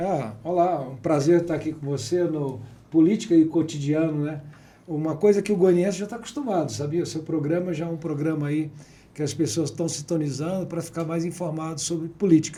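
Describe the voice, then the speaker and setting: Speaking at a fairly quick pace, a man uses a fairly high pitch with ordinary variation, while room echo and background noise are both audible. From city of Goiás, Brazil. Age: 60s. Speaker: businessman and politician. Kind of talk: interview.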